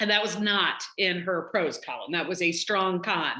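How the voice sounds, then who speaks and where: In a slight Southern US accent, a woman speaks at a medium pitch with monotone, flat intonation. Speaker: college dean. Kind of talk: casual talk.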